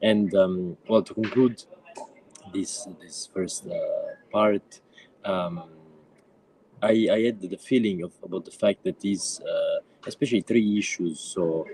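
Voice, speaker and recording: With an Italian accent and a fairly slow pace, a man speaks with long, frequent pauses and big swings in loudness, in a dry, close sound with no echo. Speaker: activist and book editor. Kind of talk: panel presentation. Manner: halting, many fillers.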